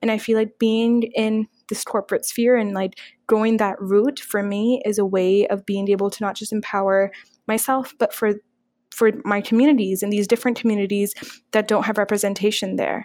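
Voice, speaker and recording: A woman with a Canadian accent talks at a moderate pace and a fairly high pitch. The recording is very clean, with a silent background. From Toronto, Canada. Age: 20s. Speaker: student and women's rights advocate. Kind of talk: casual interview. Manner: animated.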